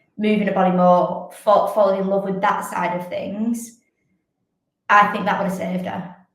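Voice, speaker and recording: A woman with a northern English accent speaks at a moderate pace and a medium pitch. Her intonation is monotone and flat, and audible room echo surrounds her voice. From northern England, Wigan. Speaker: fitness athlete and coach. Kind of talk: podcast interview.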